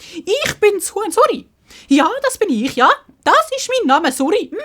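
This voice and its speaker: A loud, projected, put-on character voice. It sits extremely high in pitch and swings very widely up and down. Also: moderate pace. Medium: read story. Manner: repetitive, clucking.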